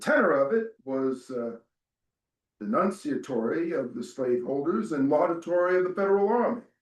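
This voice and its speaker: This man's voice is high-pitched and swings very widely in pitch. He talks at a fairly slow pace. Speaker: stage actor, theatre director. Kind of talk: dramatic reading of a historical memoir. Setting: live event before an audience. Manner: slow, measured.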